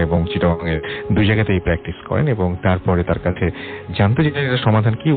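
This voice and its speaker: A man's voice with music in the background. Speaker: radio horror show host. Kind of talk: horror podcast host interviewing a guest and wrapping up.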